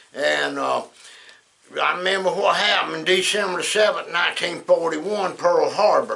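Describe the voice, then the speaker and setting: Someone with a Southern US accent talks at a moderate pace. Noticeable background noise runs under the voice. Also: man. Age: 70s. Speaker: former trucking business owner. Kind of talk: casual talk to camera.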